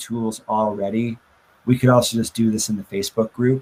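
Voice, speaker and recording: A man speaks in a normal speaking voice. His pace is moderate, with fairly even intonation. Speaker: web development teacher. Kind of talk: lecture.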